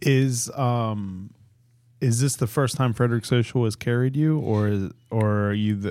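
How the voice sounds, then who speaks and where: Moderate pace and ordinary pitch variation. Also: man. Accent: American. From Pittsburgh, Pennsylvania. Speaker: podcast host. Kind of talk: casual chat. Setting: studio.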